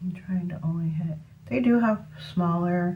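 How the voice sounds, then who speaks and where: Against noticeable background noise and audible room echo, a woman talks at a moderate pace in a fairly low pitch. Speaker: beauty vlogger. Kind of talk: makeup tutorial. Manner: casual, chatty with fillers; whispering at moments.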